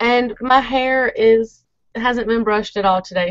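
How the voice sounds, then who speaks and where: A woman speaks in a fairly high voice with an Alabama accent and ordinary pitch variation. The sound is dry with no echo, over a quiet background. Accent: Alabama twang. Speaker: blogger. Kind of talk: casual chat. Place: home room. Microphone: webcam.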